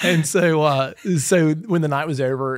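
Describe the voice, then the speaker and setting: A man speaks with a Mississippi accent and ordinary pitch variation. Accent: Mississippi Southern. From Mississippi (east-central, rural). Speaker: pastor. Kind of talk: casual chat. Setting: on-location recording at a training event.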